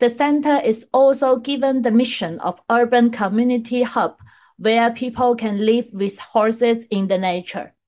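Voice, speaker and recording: A woman's normal speaking voice, fairly high in pitch, at a moderate pace with ordinary pitch variation, on a very clean recording with a silent background. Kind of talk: podcast intro and news reading.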